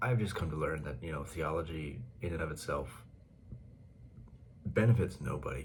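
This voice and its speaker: Soft-spoken, a man talks in a very deep, low pitch with vocal fry and very wide pitch swings. There is audible room echo. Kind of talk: casual monologue. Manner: quiet, soft-spoken; halting, many fillers and repetitions.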